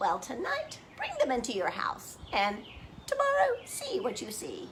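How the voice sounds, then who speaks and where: A high-pitched, put-on character voice over loud background noise. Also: moderate pace. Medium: read story. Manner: slow, thoughtful, musing.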